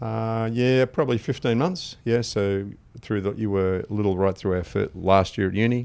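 With an Australian accent, this man speaks at a fairly low pitch. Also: ordinary pitch variation, moderate pace, quiet background. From Wimmera, Victoria, Australia. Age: 60s. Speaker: financial adviser. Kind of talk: podcast interview answer.

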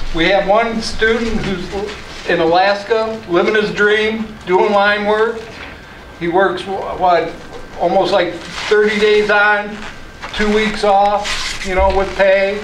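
Delivery comes at a very slow pace. Audible room echo and light background noise are present. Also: man. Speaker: vocational instructor; trade school instructor. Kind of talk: casual talk to students.

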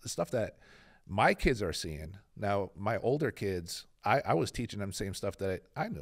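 Against a quiet background, a man with a normal speaking voice talks at a moderate pace and fairly low pitch, with ordinary pitch variation. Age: 40s. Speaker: podcast co-host. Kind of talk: casual chat interview. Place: studio. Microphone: studio mic.

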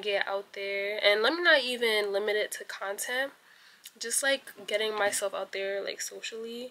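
The tone is bright and sharp, with ordinary pitch variation. The pace is fairly slow. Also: woman.

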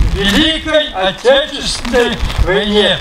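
A man with extremely high pitch at a very slow pace, over noticeable background noise. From Russia. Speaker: war veteran. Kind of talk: poetry reading. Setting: outdoors. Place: open country. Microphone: handheld.

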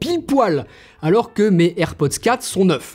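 With lively intonation, a man talks at a high pitch. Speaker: tech YouTuber. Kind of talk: product review. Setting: outdoors on a street.

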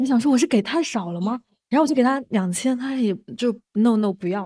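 Her voice high in pitch with a dark, mellow tone and lively intonation, a woman speaks over a quiet background. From Shaoxing, Zhejiang, China; Zhejiang, China. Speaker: community worker and podcast editor; podcast editor. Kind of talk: casual chat. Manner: halting.

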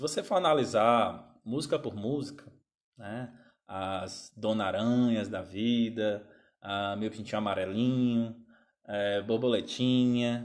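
A man talks very slowly in a quiet setting. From Brazil. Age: 30s. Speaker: music teacher. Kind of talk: live stream talk to viewers. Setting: Instagram live stream. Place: home room. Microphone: phone near.

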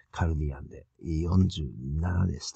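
Very slowly, a man speaks in a very deep, low pitch that is somewhat breathy, with ordinary pitch variation. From Japan, Toyama. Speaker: conspiracy video commentator. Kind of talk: solo commentary video. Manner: halting, many fillers.

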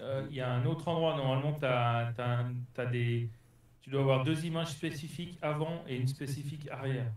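A man speaks at a fairly quick pace in a somewhat breathy voice. His intonation is fairly even, and room echo is audible. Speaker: RC hobbyist on Discord. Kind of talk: casual chat. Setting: Discord voice call. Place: workshop.

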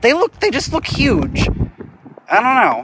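Extremely high in pitch, this man's voice has a fairly bright tone and a slightly husky edge. He talks at a fairly slow pace with very wide pitch swings.

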